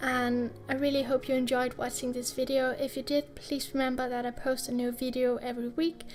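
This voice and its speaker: A high-pitched woman with a non-native accent talks at a fairly quick pace, hardly pausing at all. Her intonation stays monotone and flat over noticeable background noise. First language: not English. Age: 20s. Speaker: YouTube artist. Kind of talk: casual voice-over while drawing.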